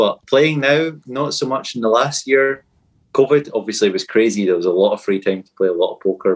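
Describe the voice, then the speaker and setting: A man with a Scottish accent speaks fairly quickly at a medium pitch. His intonation is lively, and his loudness swings widely. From Fife, Scotland. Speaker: podcast guest, superfan quiz contestant.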